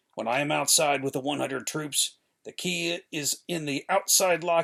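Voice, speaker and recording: Using a put-on character voice, a man speaks at a moderate pace and fairly high pitch, raspy and strained, with lively intonation. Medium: read story. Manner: deferential, strained.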